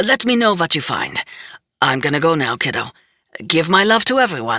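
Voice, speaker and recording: The speaker uses a raspy, put-on character voice at a middle pitch. The pace is moderate, with very wide pitch swings. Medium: read story. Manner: folksy, affectionate, evasive.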